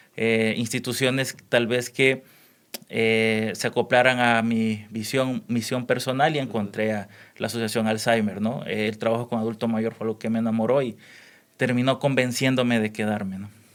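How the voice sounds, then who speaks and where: A man's medium-pitched voice, monotone and flat in intonation, at a moderate pace. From El Salvador. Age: 30s. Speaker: neuropsychologist. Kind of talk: podcast interview. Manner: hesitant, many fillers.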